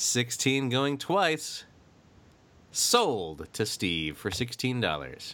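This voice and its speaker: A man speaks at a very slow pace with a medium pitch, vocal fry and a bright, sharp tone. His pitch swings very widely, and the recording is very clean with a silent background. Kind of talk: mock auctioneer bidding patter.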